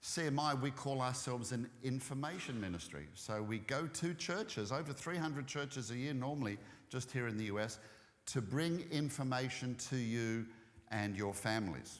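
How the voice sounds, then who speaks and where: Delivered at a moderate pace with an Australian accent, the voice keeps very even loudness and ordinary pitch variation against audible room echo. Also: man, medium pitch for a man. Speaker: ministry speaker. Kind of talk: church talk. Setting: church.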